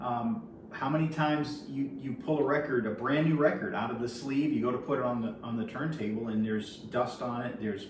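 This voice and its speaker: Noticeable background noise and audible room echo surround a man speaking at a fairly quick pace, medium in pitch with ordinary pitch variation. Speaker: vinyl collector YouTuber. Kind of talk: tutorial. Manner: casual, hesitant with fillers.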